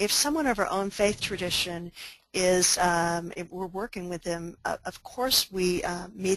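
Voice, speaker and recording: Ordinary pitch variation with an American accent. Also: woman. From Oklahoma. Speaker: pastor and disaster spiritual care expert. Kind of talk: webinar presentation. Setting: online webinar.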